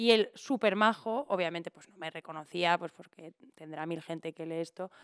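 A woman's voice shows ordinary pitch variation. Nothing stirs in the quiet background. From Spain, Valencia region. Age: 30s. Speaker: impressionist and poet; podcast guest. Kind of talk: casual chat. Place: studio. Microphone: studio mic.

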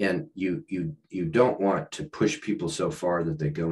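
With very wide pitch swings, a man talks over a quiet background. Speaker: author and leadership consultant; podcast guest, leadership coach. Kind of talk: podcast interview. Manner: halting, many restarts and fillers. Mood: reflective, engaged. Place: home room. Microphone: video call.

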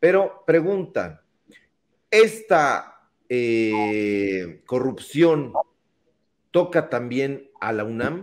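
A man speaking at a very slow pace, with long, frequent pauses and very wide pitch swings. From Mexico. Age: 40s. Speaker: political talk show host. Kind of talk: online political talk show. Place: home room. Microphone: studio mic.

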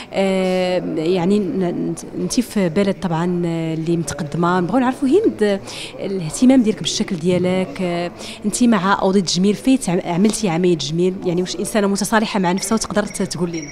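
A woman at a moderate pace, with ordinary pitch variation over light background noise. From Morocco. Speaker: interviewer for a women's website. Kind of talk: interview. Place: hall. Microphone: handheld.

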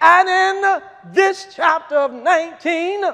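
A man speaks at an extremely high pitch in a raised, projected voice with an animated tone. His pitch varies in an ordinary way over a quiet background. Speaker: preacher. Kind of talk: sermon. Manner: animated, impassioned preaching. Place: church.

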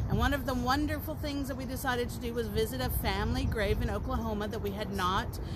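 A woman talks at a fairly quick pace. Loud background noise runs behind her. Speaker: live streamer. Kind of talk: casual vlog chat. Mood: cheerful, relaxed. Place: garden. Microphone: phone near.

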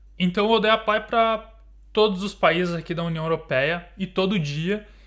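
A man against a quiet background. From Brazil. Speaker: YouTuber living abroad. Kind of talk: casual chat. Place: home room.

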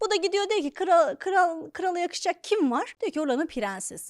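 A woman speaks in an animated tone with lively intonation at a moderate pace. The recording is very clean with a silent background, dry and close with no echo. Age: 30s. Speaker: comedian and podcast host. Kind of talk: comedic monologue.

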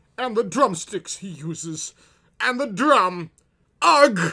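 Putting on a character voice, a man projects loudly at a fairly slow pace, his high pitch moving with lively intonation. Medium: read story.

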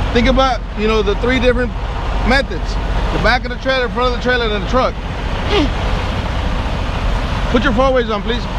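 Loud background noise runs behind speech delivered at a fairly quick pace. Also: dry sound with no echo. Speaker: truck driving trainer. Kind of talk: instruction and coaching. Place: open country.

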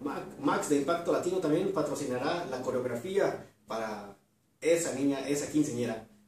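Strong room echo surrounds a man with a fairly high pitch and a slightly mellow tone. He speaks at a fairly quick pace with ordinary pitch variation.

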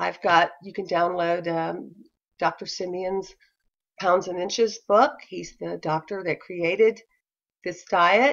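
A woman talks at a very slow pace with vocal fry and fairly even intonation. Her pitch is fairly low, and the background is quiet. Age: 60s. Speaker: diet vlogger. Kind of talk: casual talk to camera. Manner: hesitant, many fillers. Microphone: webcam.

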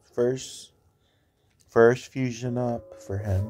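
Music plays in the background while a man speaks in a medium pitch at a very slow pace. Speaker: mobile game YouTuber. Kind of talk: casual gameplay commentary. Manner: repetitive; animated.

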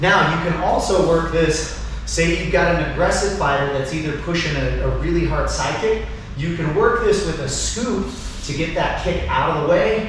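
Speech at a fairly slow pace comes through strong room echo over light background noise. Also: man. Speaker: martial arts instructor. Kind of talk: tutorial. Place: garage. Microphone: camera far.

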